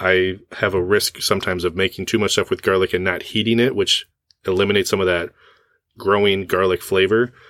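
A man with a very deep, low voice speaks at a fairly quick pace in a monotone, flat intonation, his loudness very even, the sound dry and close with no echo, and the recording very clean against a silent background. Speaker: podcast host. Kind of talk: casual chat.

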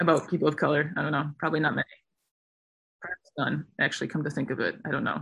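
A woman's very deep, low voice with vocal fry, a very fast pace, and long, frequent pauses. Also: ordinary pitch variation. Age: 20s. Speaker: long-distance hiker. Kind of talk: casual chat.

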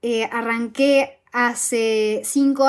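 A woman is speaking. Her pitch is high. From Argentina. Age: 20s. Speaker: fashion podcast host and blogger. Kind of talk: casual interview.

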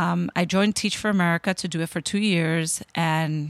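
A woman with a normal speaking voice and a fairly low pitch talks at a moderate pace with fairly even intonation. The sound is dry and close with no echo, on a very clean recording with a silent background. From New York, Dominican-American. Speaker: state education commissioner. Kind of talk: interview.

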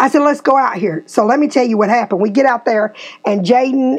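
Speaking in a Tennessee accent, a woman sounds animated with ordinary pitch variation. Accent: US Southern (Tennessee). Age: 50s. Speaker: podcast host and real estate agent. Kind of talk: casual chat.

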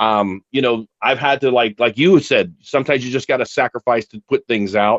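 With an unremarkable speaking voice, a man talks at a moderate pace and medium pitch with ordinary pitch variation. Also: hardly any pauses. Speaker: podcast co-host. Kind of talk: casual chat.

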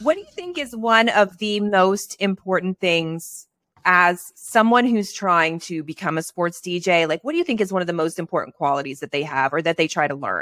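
Over a very clean recording with a silent background, a woman with a fairly low pitch speaks at a moderate pace in an animated tone with hardly any pauses. Her pitch varies in an ordinary way, and the sound is dry and close, with no echo. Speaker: podcast host. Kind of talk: casual chat.

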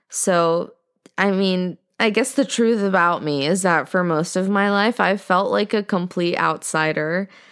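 A woman with an American accent, medium-pitched, at a fairly slow pace, with very even loudness, ordinary pitch variation, and a very clean recording over a silent background. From US, Indian American. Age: 20s. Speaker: podcaster. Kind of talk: casual monologue. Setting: home bedroom.

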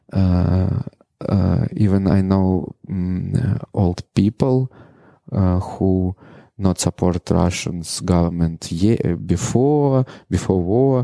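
A man with a very deep, low pitch and a dark, mellow tone speaks at a very slow pace with ordinary pitch variation and very even loudness. The recording is very clean, dry and close, with no echo and a silent background. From Ukraine, Mariupol. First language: Russian. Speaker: adult film performer. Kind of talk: interview. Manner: halting, broken English with many pauses.

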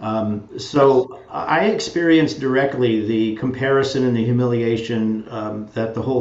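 A man holds a medium pitch and fairly even intonation while noticeable background noise continues around him. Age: 70s. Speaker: education researcher. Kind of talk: interview conversation. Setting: video call.

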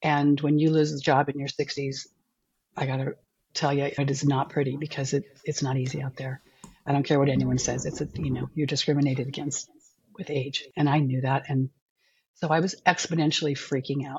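A woman speaks with a very deep, low pitch in a flat, monotone way. Her voice is somewhat breathy and her pace fairly quick. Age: 60s. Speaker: alcohol cut-back coach. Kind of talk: interview, personal story.

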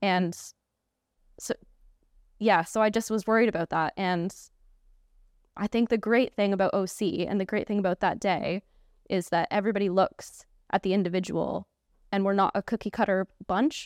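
A woman with a Canadian accent speaks at a moderate pace and a medium pitch, her intonation fairly even and her loudness very even, with long, frequent pauses. The sound is dry and close with no echo, in a very clean recording over a silent background. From Canada. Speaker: engagement specialist. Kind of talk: casual chat. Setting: studio.

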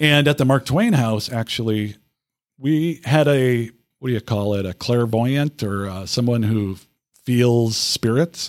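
A man with an ordinary speaking voice talks at a fairly slow pace in an American accent, at medium pitch with ordinary pitch variation. The recording is very clean, with a silent background and a dry, close sound with no echo. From southeastern Minnesota, US. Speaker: history museum director. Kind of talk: interview. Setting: on location at a history museum.

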